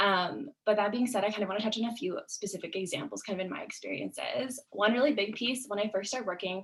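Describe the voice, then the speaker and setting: A woman with vocal fry and a medium pitch talks at a very fast pace with hardly any pauses and ordinary pitch variation. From Canada, West Vancouver. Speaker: student panelist. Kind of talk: webinar panel discussion.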